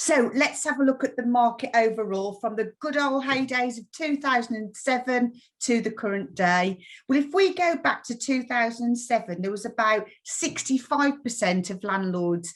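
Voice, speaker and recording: Speaking with a West Midlands accent, a woman uses a fairly high pitch, lively intonation and a moderate pace. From West Midlands, England. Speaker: mortgage lender account manager. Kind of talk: webinar presentation. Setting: online webinar.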